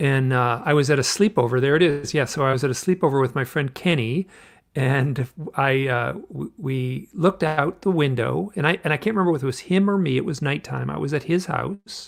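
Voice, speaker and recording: On a very clean recording with a silent background, a man with an American accent talks at a fairly quick pace in a fairly high pitch, his intonation showing ordinary variation. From US Midwest, suburbs of Detroit, Michigan. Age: 60s. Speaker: author and UFO experiencer. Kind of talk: interview storytelling. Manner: halting.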